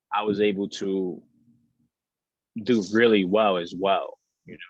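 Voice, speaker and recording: A man's fairly slow New York accent, dry and close with no echo. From Bronx, New York. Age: 20s. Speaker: model and social media influencer. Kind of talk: interview. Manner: casual, repetitive with restarts.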